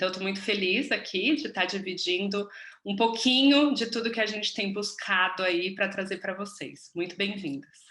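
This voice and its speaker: With a bright, sharp tone, a woman speaks at a medium pitch with ordinary pitch variation. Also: moderate pace. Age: 30s. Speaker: business mentor, course co-host. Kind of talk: online masterclass presentation.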